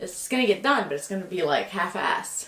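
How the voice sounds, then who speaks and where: This woman talks loudly at a fairly quick pace, her pitch swinging very widely. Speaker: student. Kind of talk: casual talk to camera.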